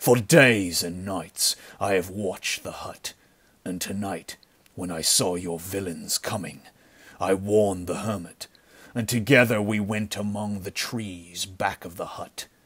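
In a put-on character voice, a man uses a stern, menacing tone that is resonant, with a fairly low pitch and fairly even intonation. He goes at a fairly slow pace, with big swings in loudness. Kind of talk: pulp adventure audiobook acting. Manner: cold, grim, stern.

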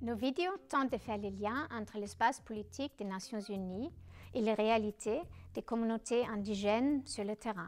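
A woman with a Danish accent speaks at a moderate pace. Her pitch is fairly high, with ordinary variation. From Denmark. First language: Danish (speaking French). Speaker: documentary filmmaker and anthropologist; presenter. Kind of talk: self-presentation video. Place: studio.

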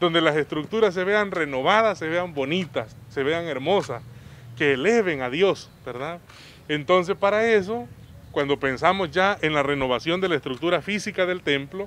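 Here a man talks in a high pitch at a moderate pace. His pitch variation is ordinary, and the sound is dry with no echo. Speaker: parish priest. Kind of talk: interview answer. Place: street. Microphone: handheld.

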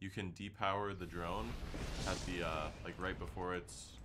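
You can hear a man talking. Behind his voice there is noticeable background noise. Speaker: game streamer. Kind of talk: gameplay commentary. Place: home room.

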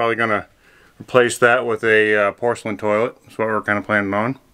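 A man speaks at a fairly quick pace in a bright, sharp tone. The background is quiet. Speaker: vlogger doing a renovation. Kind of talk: casual vlog chat. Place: home room. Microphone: phone near.

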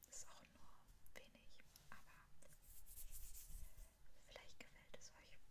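Long, frequent pauses from a woman, all at a very slow pace. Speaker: ASMR creator. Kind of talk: ASMR whispered product haul. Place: home room. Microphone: studio mic.

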